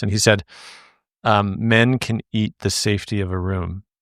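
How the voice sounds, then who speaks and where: A man's fairly low voice, fairly even in intonation, a plain, everyday voice, on a very clean recording with a silent background and a dry, close sound with no echo. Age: 40s. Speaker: podcast host. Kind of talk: podcast interview.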